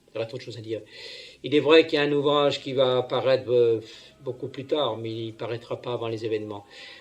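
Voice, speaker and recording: Talking at a very fast pace, a man keeps his intonation fairly even while his loudness swings widely. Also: medium pitch for a man. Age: 60s. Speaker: self-proclaimed prophet, preacher. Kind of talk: homily. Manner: halting, many fillers and repetitions.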